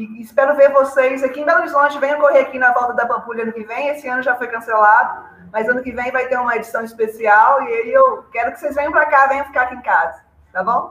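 With big swings in loudness, a woman talks at a very fast pace in a high pitch with ordinary pitch variation. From Brazil, Minas Gerais. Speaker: running coach. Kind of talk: casual live stream chat. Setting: online live stream.

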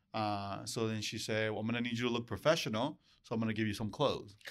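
On a very clean recording with a silent background, a man speaks in a Spanish accent at a medium pitch. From Mexico, Acapulco area, moved to US as child. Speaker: real estate branch manager. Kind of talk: casual interview. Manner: energetic.

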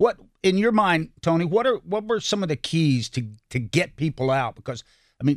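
A man with an American accent talks at a moderate pace in a high voice with very wide pitch swings, the sound dry and close with no echo. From North Carolina, Salisbury. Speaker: radio host. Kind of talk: interview.

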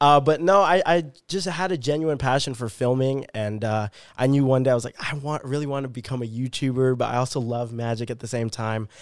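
With an American accent, a man uses a normal speaking voice at a fairly quick pace with ordinary pitch variation. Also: medium pitch for a man, very clean recording, silent background. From US Pacific Northwest, Vancouver, Washington. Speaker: magician and social media creator. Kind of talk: casual interview chat.

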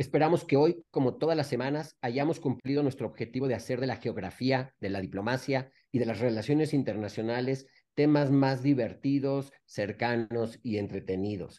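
A man's medium-pitched voice in a Mexican accent, dark and mellow in tone, at a moderate pace with ordinary pitch variation. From Mexico. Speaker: podcast co-host, former diplomat. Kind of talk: casual interview.

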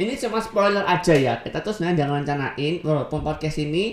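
Against noticeable background noise, a woman with a very deep, low pitch speaks at a very fast pace with lively intonation. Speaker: podcast co-host. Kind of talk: casual chat. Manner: energetic.

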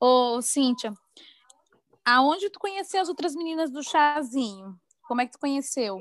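Pausing long and often, a woman speaks at a fairly slow pace in a high voice, with very wide pitch swings and big swings in loudness. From Maranhão, Brazil. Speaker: podcast host. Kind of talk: casual interview chat.

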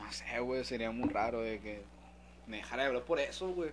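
A man talks at a fairly quick pace. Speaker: podcast co-host. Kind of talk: casual chat.

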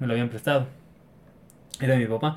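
A man at medium pitch talks with ordinary pitch variation. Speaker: podcast host. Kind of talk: casual chat.

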